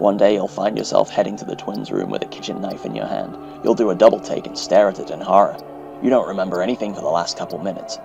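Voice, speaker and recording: A man at a very fast pace, with big swings in loudness, music in the background. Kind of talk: horror story narration.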